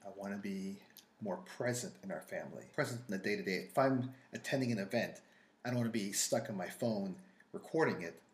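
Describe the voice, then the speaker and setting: Speaking fairly quickly with an American accent, a man at medium pitch sounds somewhat breathy and uses lively intonation. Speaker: wine and food podcast co-host. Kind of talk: casual chat.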